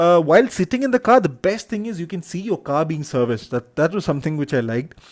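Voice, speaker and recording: With a Keralan accent, a man speaks at a very fast pace in a high pitch with very wide pitch swings, the sound dry and close with no echo on a very clean recording with a silent background. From Kerala, India. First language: Malayalam. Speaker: vlogger, hotelier. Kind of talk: travel vlog narration. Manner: hesitant, many fillers.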